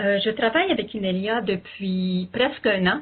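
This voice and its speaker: Very slow speech with fairly even intonation. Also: woman. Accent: Quebec. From Quebec, Canada. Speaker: interpreter and co-host. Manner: hesitant, many fillers.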